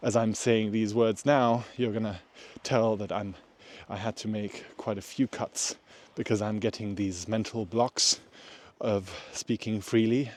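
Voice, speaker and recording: A man's fairly low, flat, monotone voice at a fairly slow pace, dry and close with no echo. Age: 30s. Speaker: vlogger. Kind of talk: casual vlog monologue. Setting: outdoors, winter walk in public. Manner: slow with long pauses.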